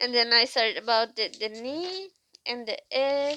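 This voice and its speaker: A woman with a non-native accent speaks very slowly in a high voice. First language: not English. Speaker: vlogger. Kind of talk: casual monologue. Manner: halting.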